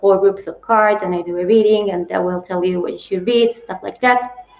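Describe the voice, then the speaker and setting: A woman with an Italian accent talks at medium pitch in a monotone, flat intonation. Noticeable background noise sits under her voice. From Italy. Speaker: booktuber. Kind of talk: casual discussion. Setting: livestream.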